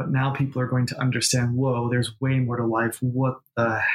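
An ordinary speaking voice comes from a man with an American accent, medium in pitch with fairly even intonation. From New York. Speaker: medium and intuitive business coach. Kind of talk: casual interview chat.

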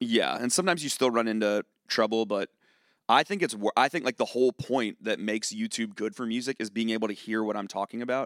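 A man with an American accent and a medium pitch, talking very fast with ordinary pitch variation, in a dry, close sound with no echo and a very clean recording over a silent background. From Virginia, Charlottesville. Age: 30s. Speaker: music critic and YouTuber. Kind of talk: live podcast interview. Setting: stage with audience.

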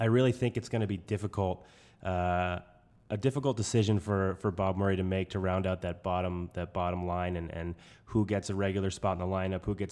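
On a very clean recording with a silent background, a man with a New England accent talks at a very fast pace in a very deep, low voice with fairly even intonation. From New Hampshire. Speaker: podcast co-host. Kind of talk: casual sports podcast discussion.

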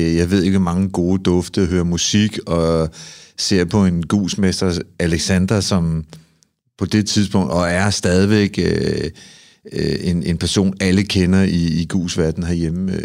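Speech comes at a very slow pace in a monotone, flat intonation on a very clean recording with a silent background. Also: man. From Copenhagen, Amager. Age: 50s. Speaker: sauna ritual performer. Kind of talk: casual interview chat.

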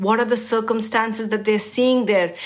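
A woman talks at a fairly high pitch. Noticeable background noise can be heard. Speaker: radio host interviewer. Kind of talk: interview.

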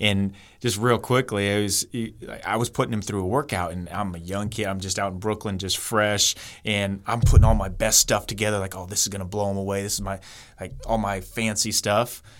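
A man goes at a fairly quick pace in a normal speaking voice. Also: fairly low pitch for a man. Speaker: basketball trainer and author. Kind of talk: casual interview. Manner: upbeat, friendly.

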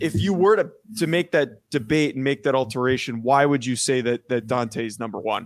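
This man talks at a fairly quick pace in a normal speaking voice, pitched in the medium range. His intonation is lively. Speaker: podcast host, former college long snapper. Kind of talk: casual sports analysis chat.

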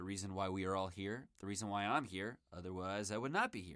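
A man speaks in a bright, sharp tone. The recording is very clean with a silent background. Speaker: sports podcast host. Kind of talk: sports podcast commentary. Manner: casual, conversational.

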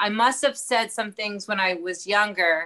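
A bright, sharp voice with an American accent, moderate pace, ordinary pitch variation, and a quiet background. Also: woman. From US, Baltimore. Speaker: comedian. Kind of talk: casual chat. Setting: podcast interview.

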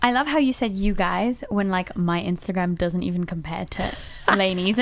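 Over noticeable background noise, a woman speaks at a moderate pace. Her pitch is medium, with ordinary variation. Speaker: podcast guest.

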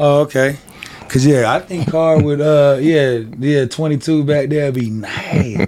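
A man's fairly high-pitched voice, ordinary pitch variation, fairly slow pace and noticeable background noise. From Denver. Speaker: sports talk podcast co-host. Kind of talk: heated sports debate.

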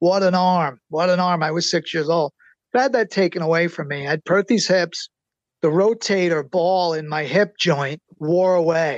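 A man's high voice at a moderate pace, with ordinary pitch variation and a dry, close sound with no echo. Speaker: book co-author and subject. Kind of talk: interview.

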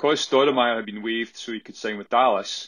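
A man speaks with a strong Scottish accent. His pace is moderate. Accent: thick Scottish. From Scotland. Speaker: listener caller. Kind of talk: recorded voice message quiz.

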